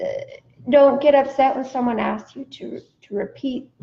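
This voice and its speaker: At a fairly slow pace, a woman speaks at a high pitch with a dark, mellow tone. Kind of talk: casual chat.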